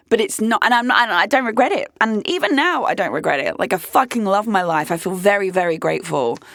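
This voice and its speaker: Speaking very fast with hardly any pauses, a woman with a British accent uses a fairly high pitch, very wide pitch swings and some vocal fry. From UK. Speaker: podcast host. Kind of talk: casual chat. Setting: studio.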